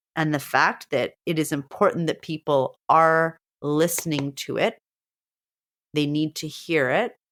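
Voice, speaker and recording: A woman's ordinary speaking voice, fairly low in pitch and at a fairly slow pace, on a very clean recording with a silent background. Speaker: teacher and podcast co-host. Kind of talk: casual chat.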